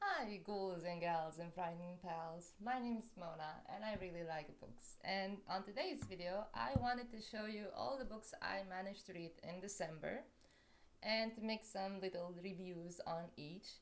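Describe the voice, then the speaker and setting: At a moderate pace, a woman of medium pitch talks with ordinary pitch variation amid audible room echo. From Romania. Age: 30s. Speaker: book vlogger. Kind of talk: casual book review vlog. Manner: animated.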